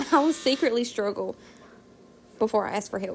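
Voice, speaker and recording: Over noticeable background noise, a woman talks very fast in a fairly high pitch. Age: 20s. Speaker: stay-at-home mom vlogger. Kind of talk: casual vlog talk. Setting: at home. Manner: casual, hesitant with repetitions.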